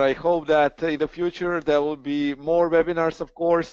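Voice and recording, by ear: A man speaks at a moderate pace and a fairly high pitch, his tone clear and smooth, his intonation fairly even, in a dry, close sound with no echo.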